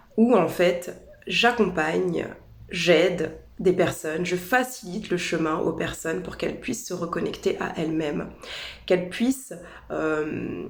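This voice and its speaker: A woman with a fairly low pitch speaks at a fairly slow pace, with audible room echo and noticeable background noise. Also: ordinary pitch variation. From France, Paris region. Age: 30s. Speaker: holistic naturopath. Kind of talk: personal introduction video. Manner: hesitant, with fillers and repetitions.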